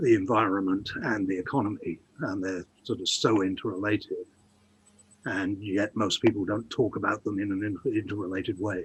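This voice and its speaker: Speaking at a moderate pace with fairly even intonation, a man has an unremarkable speaking voice and a fairly low pitch. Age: 60s. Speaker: economist and writer. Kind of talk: casual chat.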